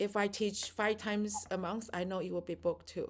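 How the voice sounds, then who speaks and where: At a fairly quick pace, a woman speaks in a medium pitch. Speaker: doula and childbirth educator. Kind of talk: casual chat.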